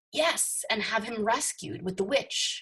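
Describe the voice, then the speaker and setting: The words come out fairly slowly. They are delivered in a put-on character voice. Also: woman, fairly high pitch for a woman. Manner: scornful.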